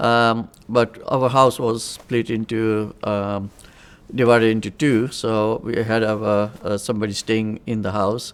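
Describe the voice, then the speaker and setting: Speaking at a fairly slow pace, a man keeps a monotone, flat intonation. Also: medium pitch for a man. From Uganda, Indian community. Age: 60s. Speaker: migrant storyteller. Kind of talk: oral history interview. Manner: hesitant, many fillers and restarts.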